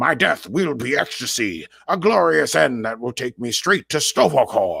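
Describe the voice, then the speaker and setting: Using a put-on character voice, a man speaks at a moderate pace and medium pitch with lively intonation. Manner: fierce, boastful, dramatic.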